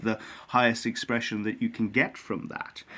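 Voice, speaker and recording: Speaking with an Irish accent, a man keeps a moderate pace. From Ireland. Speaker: winemaker. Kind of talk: interview. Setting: remote from honeymoon abroad. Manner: hesitant, repeats words.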